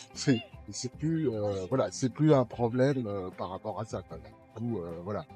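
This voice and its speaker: Music plays behind a man speaking at a very slow pace. His voice sits at medium pitch. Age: 70s. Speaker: electric unicycle rider. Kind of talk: interview answer.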